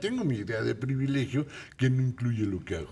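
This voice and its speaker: It's a man's voice. He sounds somewhat breathy. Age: 60s. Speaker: commentator. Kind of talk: talk show discussion.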